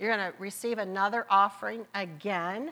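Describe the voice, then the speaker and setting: A woman speaks with a Southern accent. Her tone is bright and sharp. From US Midwest (Marietta, Ohio). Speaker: guest preacher. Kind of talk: sermon. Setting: church.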